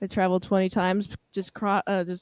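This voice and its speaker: A woman's very fast, monotone speech with flat intonation and a Western US accent, in dry, close sound with no echo. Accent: Western American, close to Californian. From Washington State, US. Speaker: livestream guest. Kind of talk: casual chat.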